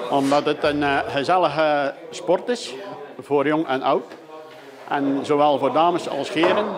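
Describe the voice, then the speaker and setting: In a room with audible echo and noticeable background noise, a man with a fairly high voice speaks with ordinary pitch variation. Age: 60s. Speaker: krulbollen player, local expert. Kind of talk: interview. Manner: hesitant, many filler sounds.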